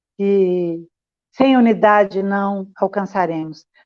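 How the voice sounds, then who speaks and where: Her pitch is ordinary in how much it moves. This woman speaks at a medium pitch. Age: 60s. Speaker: community activist. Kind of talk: panel discussion. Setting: livestream.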